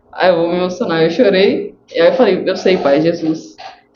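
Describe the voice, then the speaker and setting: A woman's medium-pitched speech is heard with audible echo from the room. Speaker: cancer survivor sharing faith testimony. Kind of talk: testimony. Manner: slow.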